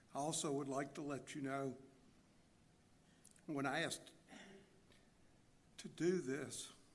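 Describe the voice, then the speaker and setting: A man at a fairly high pitch, with a fairly slow pace, long, frequent pauses and audible room echo. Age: 60s. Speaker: church member giving testimony. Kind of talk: testimony. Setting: church. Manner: halting pauses.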